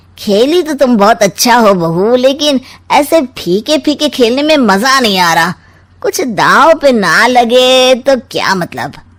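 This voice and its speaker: In a cartoonish character voice, a woman speaks at a fairly slow pace with a high pitch and lively intonation. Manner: sly, insinuating.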